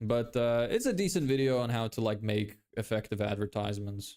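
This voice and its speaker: A man with a Lithuanian accent talks at a moderate pace on a very clean recording with a silent background. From Ireland. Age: 20s. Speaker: live streamer building an online business. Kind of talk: casual live-stream chat.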